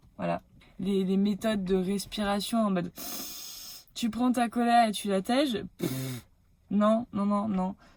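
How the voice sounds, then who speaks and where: A woman's animated, somewhat breathy voice at a fairly slow pace, with ordinary pitch variation. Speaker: hypnotherapist vlogger. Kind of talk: casual vlog monologue. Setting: in her car. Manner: hesitant fillers.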